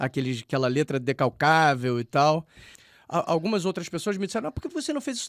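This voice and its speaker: A man talks at a very fast pace with very wide pitch swings, recorded very cleanly against a silent background with a dry, close sound and no echo. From Rio de Janeiro, Brazil. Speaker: poet. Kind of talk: radio interview. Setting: radio studio. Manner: halting, many repetitions and fillers.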